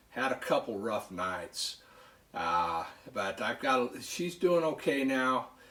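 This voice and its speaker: A man talks at a very slow pace with an American accent. Noticeable background noise is present. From northern California. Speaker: knife collector YouTuber. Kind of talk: casual vlog talk. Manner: loud; halting.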